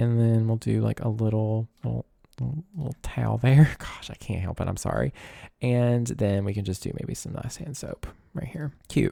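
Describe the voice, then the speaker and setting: Relaxed in tone, a man with a Southern US accent speaks at a medium pitch and moderate pace in a dark, mellow tone with ordinary pitch variation, the sound dry and close with no echo. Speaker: gaming YouTuber. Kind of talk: casual gameplay commentary. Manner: soft, relaxed.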